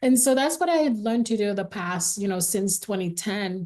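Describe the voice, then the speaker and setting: At a moderate pace and medium pitch, a woman speaks in a dark, mellow tone with ordinary pitch variation. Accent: Haitian. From Haiti. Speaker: singer. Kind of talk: interview testimony.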